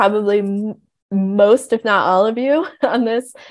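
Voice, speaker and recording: A woman talks at a fairly slow pace, with a quiet background behind her. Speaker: webinar presenter. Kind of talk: lecture. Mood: friendly, self-deprecating. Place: home room. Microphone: earbuds.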